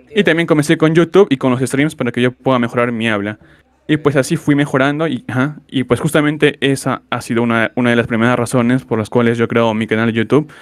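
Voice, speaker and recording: A man's voice, medium in pitch with ordinary pitch variation, races along at a very fast pace. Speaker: gaming youtuber. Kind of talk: interview. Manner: halting.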